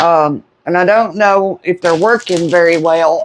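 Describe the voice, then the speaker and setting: The speaker is a woman with a Southern US accent. She talks at a fairly slow pace. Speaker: home cooking vlogger. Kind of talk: casual cooking chat. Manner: starts loud, trails off quieter.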